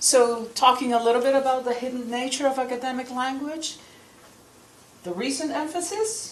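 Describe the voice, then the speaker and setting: Amid noticeable background noise and audible room echo, a woman with a high pitch speaks at a moderate pace with ordinary pitch variation. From Peru. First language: Spanish. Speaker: professor. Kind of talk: lecture. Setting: lecture hall with audience.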